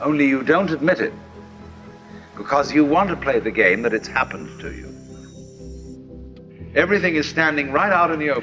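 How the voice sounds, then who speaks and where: A man with a British accent talks at a fairly quick pace in a fairly high pitch, with ordinary pitch variation. Long, frequent pauses break up his speech, and music plays in the background. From Britain. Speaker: philosopher, writer and speaker. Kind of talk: philosophical lecture.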